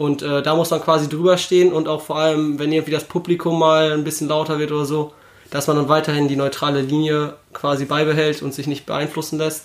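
A man speaks at a fairly quick pace in a fairly high voice. His intonation is monotone and flat. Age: 20s. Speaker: handball referee. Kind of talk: casual chat.

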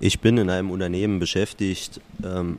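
A man with a very deep, low voice, fairly even intonation and a slight Saarland accent. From Saarland, Germany. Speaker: podcast listener, company employee. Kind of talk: casual chat. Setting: workshop.

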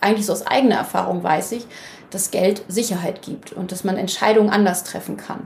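A somewhat breathy woman's voice comes through with audible room echo. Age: 30s. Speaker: financial coach, former banker. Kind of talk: interview.

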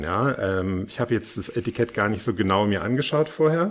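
A man talks at a moderate pace in an ordinary speaking voice. His pitch is fairly low, and his intonation is lively. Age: 50s. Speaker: podcast host and journalist. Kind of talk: casual interview.

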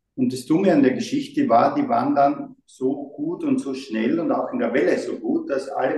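A man at a moderate pace. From Austria, Graz. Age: 60s. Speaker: brand designer. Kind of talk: interview.

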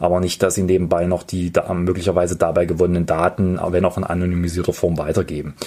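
A man's very deep, low voice with a dark, mellow tone at a very fast pace. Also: very clean recording, silent background. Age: 20s. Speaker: podcast host, politician. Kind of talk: explanatory podcast talk. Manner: formal.

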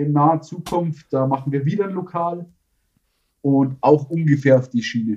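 Somewhat breathy and dark, mellow in tone, a man's fairly high-pitched voice carries ordinary pitch variation. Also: moderate pace. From Bavaria, Tegernsee. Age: 30s. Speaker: tile-laying business owner. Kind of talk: casual interview.

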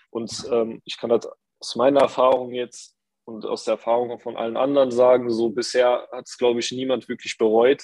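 A man at medium pitch speaks at a moderate pace with monotone, flat intonation and big swings in loudness. The sound is dry and close, with no echo. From Saarland, Germany (Saarbrücken). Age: 20s. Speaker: performance marketer, coaching participant. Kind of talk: interview, casual chat.

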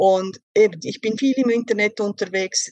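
At a fairly slow pace, a woman speaks with ordinary pitch variation in a plain, everyday voice. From Switzerland. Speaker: vocational school teacher, diabetes client. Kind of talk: interview testimony.

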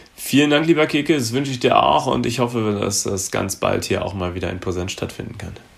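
Noticeable background noise sits under a fairly quick delivery. The intonation is lively, with hardly any pauses. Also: man, medium pitch for a man. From Germany, Gütersloh (North Rhine-Westphalia). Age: 30s. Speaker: insurance investment specialist. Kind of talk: casual interview.

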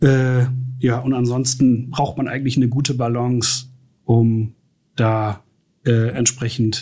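A man speaks at medium pitch in a dark, mellow, somewhat breathy tone. His intonation is monotone and flat, with long, frequent pauses. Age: 50s. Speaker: IT infrastructure and security manager. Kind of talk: interview.

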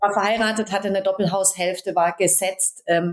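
This is an unremarkable speaking voice at a fairly quick pace. The intonation stays fairly even. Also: woman. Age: 40s. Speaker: dance and movement coach. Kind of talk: interview conversation.

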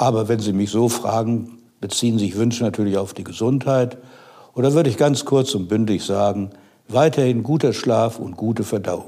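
A man speaks at medium pitch in a dark, mellow tone. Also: ordinary pitch variation, moderate pace. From Westphalia, Germany. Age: 70s. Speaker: retired economics professor. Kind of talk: interview.

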